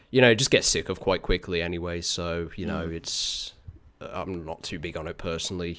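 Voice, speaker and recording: In a British accent, a man talks at a moderate pace. His pitch is very deep and low. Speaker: streamer, hosting a game stream. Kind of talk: casual stream chat. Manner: casual, chatty.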